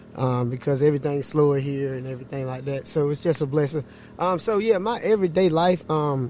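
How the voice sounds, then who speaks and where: A man with a North Carolina accent, fairly high pitch, ordinary pitch variation and a fairly quick pace, over noticeable background noise. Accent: Southern US, North Carolina. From eastern North Carolina, US South. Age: 30s. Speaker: barber and horseman. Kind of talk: casual chat. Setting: podcast interview.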